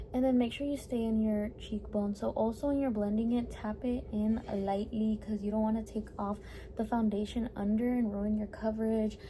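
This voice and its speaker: Fairly high in pitch yet dark and mellow in tone, a woman's somewhat breathy voice moves at a moderate pace with monotone, flat intonation and hardly any pauses. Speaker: beauty vlogger. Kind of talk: tutorial.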